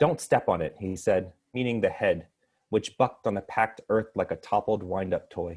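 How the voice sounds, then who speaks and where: An American man talks at a moderate pace with medium pitch. He has an unremarkable speaking voice. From Texas, Houston. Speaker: poet. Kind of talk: poetry reading.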